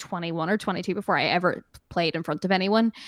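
In a dry, close sound with no echo, a woman with an American accent speaks in a bright, sharp tone. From Northern Ireland. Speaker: musician. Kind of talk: casual interview. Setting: video call, remote interview.

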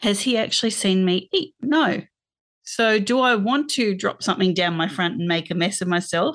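A woman with an Australian accent speaks at a moderate pace and medium pitch, her intonation lively against a quiet background. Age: 50s. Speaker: podcast guest sharing eating disorder experience. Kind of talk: personal testimony in interview.

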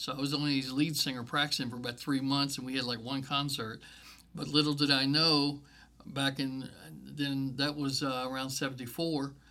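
A man with an American accent speaks at a fairly high pitch and moderate pace, his bright, sharp tone delivered in a monotone, flat intonation. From Virginia. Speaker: church staff member. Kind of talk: testimony.

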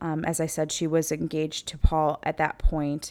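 A woman with a very deep, low pitch is heard in a very clean recording over a silent background. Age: 30s. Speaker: true crime podcast host. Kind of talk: casual storytelling monologue. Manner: animated.

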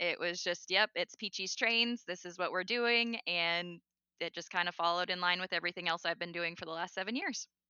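Fairly quick and fairly even in intonation, a woman talks in a plain, everyday voice pitched fairly low. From North Dakota, US. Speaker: model railroad YouTuber. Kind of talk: casual interview.

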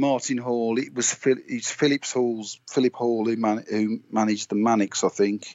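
A man with a West Midlands accent, monotone and flat in intonation, at a moderate pace. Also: medium pitch for a man. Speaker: indie musician. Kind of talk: interview. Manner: halting, many fillers.

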